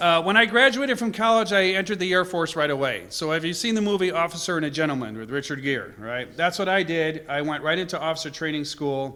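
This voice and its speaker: The voice is loud, with an American accent. It moves at a very fast pace with lively intonation. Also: man, high pitch for a man. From Connecticut, US Northeast. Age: 60s. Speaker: travel speaker, Air Force veteran. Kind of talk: presentation to a club.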